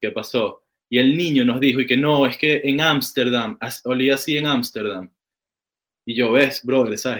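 This is a man with a Venezuelan accent. His voice sits at a medium pitch. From Caracas, Venezuela. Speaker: cannabis grower. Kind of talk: casual chat. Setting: call.

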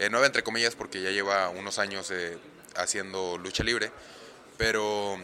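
A man with a fairly low voice speaks at a moderate pace against noticeable background noise. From Monterrey, northern Mexico. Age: 20s. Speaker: professional wrestler. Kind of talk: casual interview. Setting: in person.

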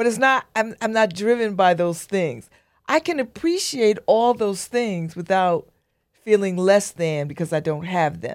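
In a very clean recording with a silent background, a woman with an unremarkable speaking voice talks at medium pitch and a fairly slow pace, her intonation lively. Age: 60s. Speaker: radio host and newspaper editor. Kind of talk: casual interview.

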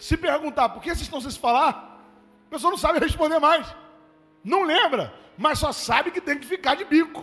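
With music in the background, a man speaks in an extremely high-pitched, raised and projected voice, animated in tone, at a moderate pace. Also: ordinary pitch variation, big swings in loudness. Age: 30s. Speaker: pastor. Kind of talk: sermon. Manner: conversational, animated.

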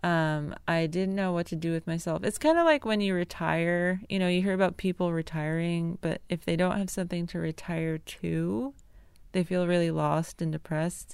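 At a moderate pace, a woman talks in a plain, everyday voice at a fairly low pitch, in a very clean recording with a silent background. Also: fairly even intonation. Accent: American. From US Northeast, rural Connecticut. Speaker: illustrator and podcast host. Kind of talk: casual personal monologue. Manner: casual, with fillers and laughs.

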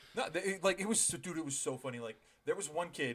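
Fairly quick and with lively intonation, a man speaks in an unremarkable speaking voice. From Ontario, Canada. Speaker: podcast co-host. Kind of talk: casual chat.

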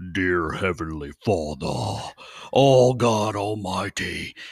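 In a put-on character voice, a man speaks very slowly with a very deep, low pitch and a raspy sound. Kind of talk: preacher voice, dramatic pulpit delivery. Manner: solemn, booming, theatrical.

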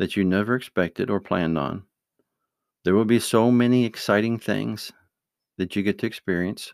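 A man at a moderate pace with ordinary pitch variation, dry and close with no echo, on a very clean recording with a silent background. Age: 50s. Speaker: father giving life advice to his children. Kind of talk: casual monologue with religious advice. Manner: relaxed, hesitant with fillers.

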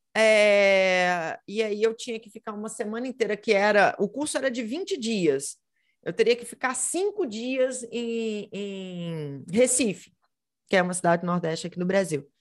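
Against a quiet background, a woman with a normal speaking voice talks at a fairly slow pace and fairly high pitch, with big swings in loudness. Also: lively intonation. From Brazil, Minas Gerais. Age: 30s. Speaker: history teacher and model. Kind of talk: casual interview.

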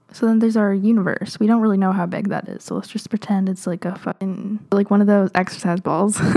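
A woman with a dark, mellow tone, medium pitch and fairly even intonation

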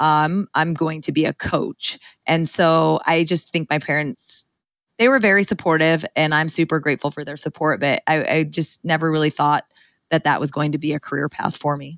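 A woman with an American accent speaks at a moderate pace, with a very deep, low pitch and fairly even intonation. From California Central Valley. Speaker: college running coach. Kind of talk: interview.

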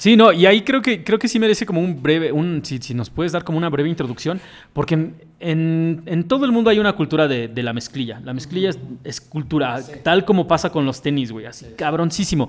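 In a normal speaking voice, a man talks at a fairly quick pace and fairly high pitch. His intonation is lively, and his loudness swings widely. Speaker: podcast host. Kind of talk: casual chat.

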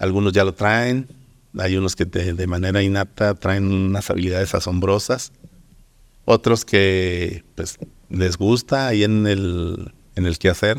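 Speaking at a fairly slow pace, a man uses a very deep, low pitch and fairly even intonation. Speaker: painter and art teacher. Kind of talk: interview. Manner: hesitant, many fillers.

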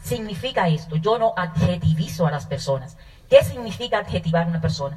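The speaker talks at a fairly quick pace with vocal fry and lively intonation. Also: woman. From Dominican Republic, north (Manzanillo). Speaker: network marketing business owner. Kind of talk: testimony.

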